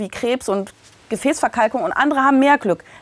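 A woman at a fairly quick pace, with lively intonation. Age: 50s. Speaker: physician and author. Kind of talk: interview.

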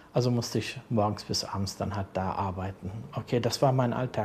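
This man has an unremarkable speaking voice at a medium pitch. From Berlin-Kreuzberg. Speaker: social worker. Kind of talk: interview. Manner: calm.

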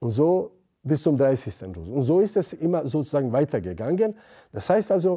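The man's voice sits at a fairly high pitch with a dark, mellow tone. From Bosnia. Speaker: theology lecturer, former imam. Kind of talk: interview.

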